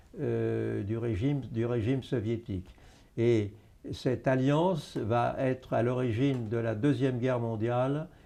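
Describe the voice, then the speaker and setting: Fairly slow male speech in a dark, mellow tone, its pitch varying in an ordinary way. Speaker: historian and retired army officer. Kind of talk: interview. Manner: hesitant, many filler sounds.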